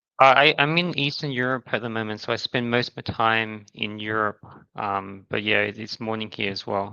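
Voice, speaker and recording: Here a man with an Australian accent speaks at medium pitch and a moderate pace, his tone bright and sharp. The sound is dry and close with no echo, and his pitch varies in an ordinary way. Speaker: crypto startup founder. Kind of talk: podcast interview.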